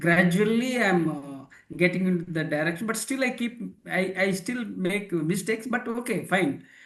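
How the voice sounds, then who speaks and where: Moderate pace and ordinary pitch variation from a man with a high pitch. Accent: non-native. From India. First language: not English. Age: 60s. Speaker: leadership author and philosopher. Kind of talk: interview. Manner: halting.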